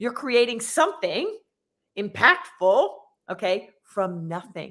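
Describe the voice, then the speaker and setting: Her pitch fairly high, a woman speaks at a fairly slow pace in an ordinary speaking voice. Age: 50s. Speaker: business coach. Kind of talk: interview.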